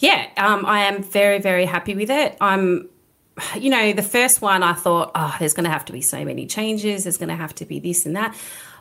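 At a fairly quick pace, a woman with an Australian accent speaks in a medium pitch. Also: ordinary pitch variation. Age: 40s. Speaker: gym owner. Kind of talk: interview. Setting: studio.

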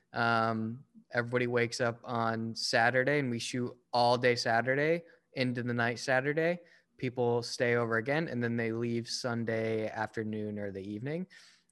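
A man talks at a moderate pace in a plain, everyday voice. His pitch is medium and his intonation fairly even. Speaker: filmmaker and screenwriter. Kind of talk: casual chat. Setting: at home, rain outside.

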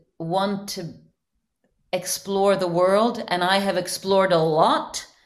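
A woman with a normal speaking voice talks at a fairly slow pace, her medium pitch showing ordinary variation. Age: 50s. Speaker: life coach. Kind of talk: interview podcast. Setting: video call.

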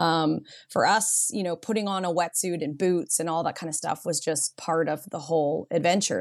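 A woman's fairly low, fairly quick an ordinary speaking voice with a Canadian accent and ordinary pitch variation, over a quiet background. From Canada, Vancouver Island (Nanaimo, BC). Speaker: surf school owner and instructor. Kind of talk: casual interview.

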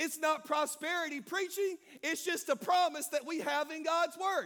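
An animated man speaks in a Southern US accent with an extremely high pitch. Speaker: pastor. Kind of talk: sermon to live congregation. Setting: church with congregation and live stream. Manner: animated, call-and-response, fiery and exhorting; informal and warm, pausing to poll the crowd.

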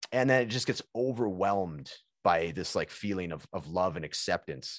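The voice carries a Canadian accent with vocal fry. Its pitch swings very widely. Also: man, quiet background. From Prince George, British Columbia, Canada. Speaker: podcast host and guest. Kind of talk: casual chat. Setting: video call.

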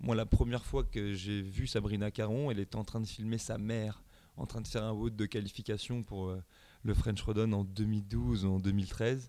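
A man's fairly low, dark, mellow voice, with fairly even intonation at a moderate pace, in a very clean recording with a silent background. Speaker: CrossFit coach. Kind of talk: casual interview.

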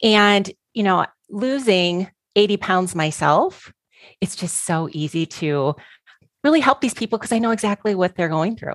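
A woman's normal speaking voice, medium-pitched, with lively intonation and a moderate pace, dry and close with no echo against a quiet background. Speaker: coach, collective member. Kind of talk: casual discussion.

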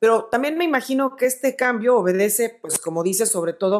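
A woman's normal speaking voice with lively intonation at a moderate pace. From Mexico. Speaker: podcast host interviewing music industry figures. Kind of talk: interview.

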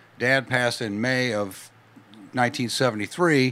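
A man talks at a medium pitch with an American accent. His pitch moves with ordinary variation. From US Midwest, western Illinois. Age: 60s. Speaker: photographer. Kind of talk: casual chat.

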